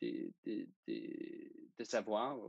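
The speaker has a slight Danish accent, and the sound is dry and close with no echo. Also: man. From Denmark. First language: Danish (speaking French). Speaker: student sailor. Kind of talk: interview. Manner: halting.

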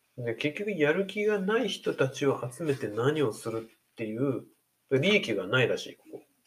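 At a moderate pace, a man speaks with fairly high pitch and very wide pitch swings. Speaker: podcast host. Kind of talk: casual chat.

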